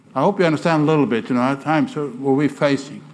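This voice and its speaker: A man in a Swedish accent speaks at a fairly high pitch with ordinary pitch variation. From Sweden. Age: 60s. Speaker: missionary preacher. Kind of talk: sermon. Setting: church. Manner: animated.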